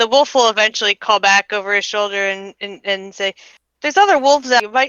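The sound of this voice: An unforced reading voice is heard with a quiet background.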